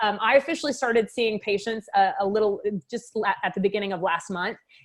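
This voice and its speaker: Talking at a very fast pace, a woman with a fairly high pitch and ordinary pitch variation has a slight Texas accent. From Texas, Waco. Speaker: med spa owner and doctor. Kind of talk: interview.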